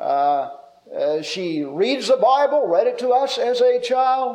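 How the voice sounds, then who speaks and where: The voice moves through very wide pitch swings amid audible room echo. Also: man. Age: 50s. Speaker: preacher. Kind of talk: sermon.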